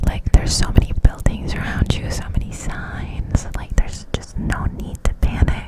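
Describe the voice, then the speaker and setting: Someone whispers at a moderate pace with hardly any pauses and big swings in loudness, over noticeable background noise. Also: woman. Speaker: ASMR creator. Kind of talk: ASMR whisper ramble. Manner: whispered, close to the mic.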